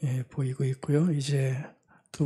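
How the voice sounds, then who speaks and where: Somewhat breathy and dark, mellow in tone, a man speaks at a medium pitch with monotone, flat intonation. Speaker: pastor. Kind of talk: sermon. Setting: church service, livestream. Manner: conversational, many fillers.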